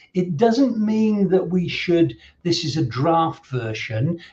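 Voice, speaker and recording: This man speaks at a very slow pace. His pitch sits high and swings very widely. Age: 60s. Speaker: safeguarding consultant and trainer. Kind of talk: online presentation. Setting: live-streamed online event. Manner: halting, many fillers and repeats.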